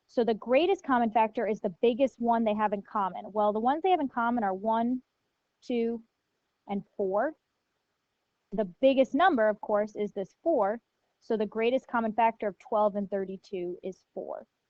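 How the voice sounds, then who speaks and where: An ordinary speaking voice from a woman, with fairly high pitch, moderate pacing and ordinary pitch variation. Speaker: math teacher. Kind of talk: lecture.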